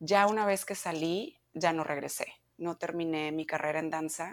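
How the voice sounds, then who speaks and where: A woman with an unremarkable speaking voice, fairly low in pitch and fairly even in intonation, recorded very cleanly against a silent background. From Mexico, Monterrey. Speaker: yoga teacher. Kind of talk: interview.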